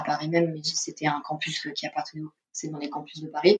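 A woman speaks with a very deep, low pitch. Her fairly quick delivery has a monotone, flat intonation. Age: 20s. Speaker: film studies student. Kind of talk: interview testimony. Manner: hesitant, many fillers.

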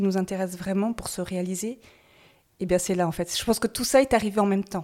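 Over a silent background in a very clean recording, the voice has a dark, mellow tone and fairly even intonation. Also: woman. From Paris, France. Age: 50s. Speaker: salt marsh worker, former cosmetics chemist. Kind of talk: interview.

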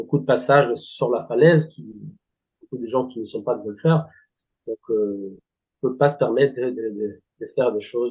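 Speech in a Spanish accent comes with big swings in loudness and long, frequent pauses. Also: man, medium pitch for a man, ordinary pitch variation, moderate pace. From Spanish Basque Country. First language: Spanish (speaking French). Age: 40s. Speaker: golf club director. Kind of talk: interview. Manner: halting, many hesitations.

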